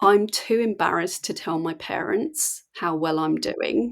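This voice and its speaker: At a fairly slow pace, a woman speaks in a very clean recording with a silent background. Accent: English. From England. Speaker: mindset coach. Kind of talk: podcast conversation.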